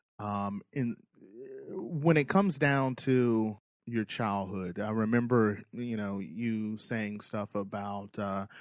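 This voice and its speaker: A man with a Georgia accent speaks very slowly in a fairly low voice. The recording is very clean, with a silent background. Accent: Southern US, Georgia. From US South, Macon, Georgia. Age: 30s. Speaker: podcast host. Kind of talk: casual chat.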